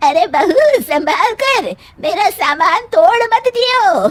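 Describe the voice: A woman's cartoonish character voice, extremely high in pitch, with very wide pitch swings at a very slow pace.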